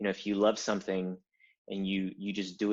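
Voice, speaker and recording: Speaking at a fairly quick pace with a Spanish accent, a man delivers his words in a fairly low, monotone, flat voice. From Cuba, moved to the US at 8. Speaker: tech company founder and designer. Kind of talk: podcast interview.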